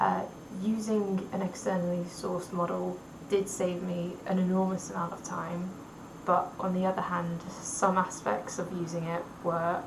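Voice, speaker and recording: Room echo can be heard around this woman's voice, and there is noticeable noise in the background. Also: medium pitch for a woman. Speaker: university student. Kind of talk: recorded class presentation. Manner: halting, with pauses and repeated sounds.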